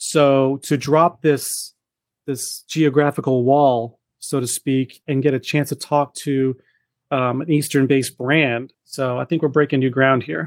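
In an American accent, a man speaks at a fairly high pitch in a monotone, flat intonation, with a dry, close sound and no echo on a very clean recording with a silent background. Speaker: podcast host. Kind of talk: casual interview. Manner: fast talker, trips over words.

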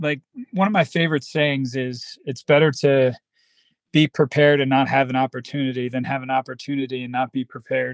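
In a plain, everyday voice, a man speaks at a moderate pace with medium pitch and fairly even intonation, the sound dry and close with no echo. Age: 30s. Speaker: bare knuckle fighter and police officer. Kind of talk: casual interview.

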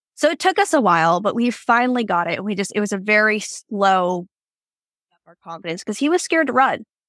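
Speaking at a fairly quick pace, a woman uses a fairly high pitch with very wide pitch swings and big swings in loudness. The recording is very clean, with a silent background. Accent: American. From Washington State. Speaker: barrel racer. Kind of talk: casual interview chat.

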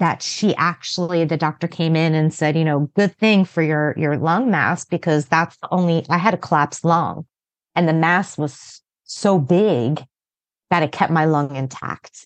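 In a dry, close sound with no echo and a quiet background, a woman with a fairly low pitch speaks at a fairly slow pace in an unremarkable speaking voice. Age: 40s. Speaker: cancer patient and former CrossFit athlete. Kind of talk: casual interview. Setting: podcast interview.

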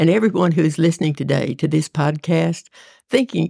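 Using vocal fry, a woman with a very deep, low pitch speaks at a moderate pace, the sound dry and close with no echo. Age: 80s. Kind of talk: casual faith conversation and prayer.

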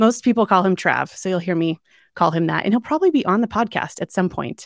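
A woman with a normal speaking voice and ordinary pitch variation is heard in a dry, close, very clean recording with no echo and a silent background. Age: 40s. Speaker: dating coach and podcast host. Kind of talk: solo personal storytelling monologue. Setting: at home.

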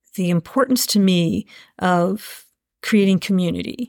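A woman with an American accent and an unremarkable speaking voice speaks at a fairly slow pace, with medium pitch and ordinary pitch variation, in a dry, close sound with no echo on a very clean recording with a silent background. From Asheville, North Carolina. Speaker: event director. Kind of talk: interview conversation.

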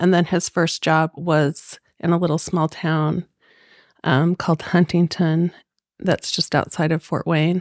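An American accent comes through in a monotone, flat delivery at very even loudness. The recording is very clean with a silent background, and the sound is dry and close with no echo. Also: woman, fairly low pitch for a woman. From Utah, Salt Lake area. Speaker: community volunteer. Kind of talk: casual chat.

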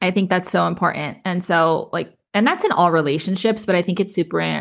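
A woman speaks at a fairly quick pace with a fairly low pitch, fairly even intonation and vocal fry. The recording is very clean, with a silent background. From New Mexico (Las Cruces). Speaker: podcast host. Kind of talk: casual chat.

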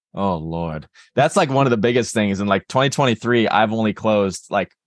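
An ordinary speaking voice with an American accent moves at a fairly quick pace, the sound dry and close with no echo over a quiet background. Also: man. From Texas, Dallas. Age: 20s. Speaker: college football player. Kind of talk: interview.

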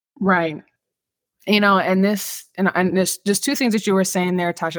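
A woman with an American accent has an unremarkable speaking voice, fairly low in pitch, with fairly even intonation. She speaks at a moderate pace on a very clean recording with a silent background. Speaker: podcast host discussing mental health. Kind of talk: educational casual conversation.

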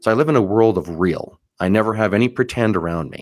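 A man with an unremarkable speaking voice talks at a moderate pace in a fairly low pitch. His intonation is lively, and the recording is very clean with a silent background. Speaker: mortgage loan officer and podcast host. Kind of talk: solo podcast monologue.

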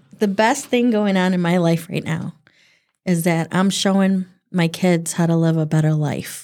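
A woman's ordinary speaking voice at fairly low pitch and moderate pace, with very even loudness and ordinary pitch variation, on a very clean recording with a silent background. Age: 40s. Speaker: church member, former Sunday school teacher. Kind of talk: casual faith discussion.

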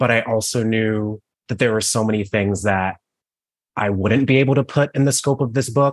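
With an American accent, a man talks in an unremarkable speaking voice at medium pitch, his intonation fairly even and his loudness very even against a quiet background. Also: moderate pace, dry, close sound with no echo. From Cleveland, Ohio. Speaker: author. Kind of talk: interview Q&A.

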